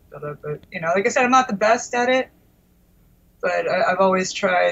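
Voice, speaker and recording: A woman with a Philadelphia accent at a fairly quick pace over noticeable background noise. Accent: Philadelphia area American. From US Northeast, Delaware County outside Philadelphia. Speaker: guitarist. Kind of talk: casual interview chat.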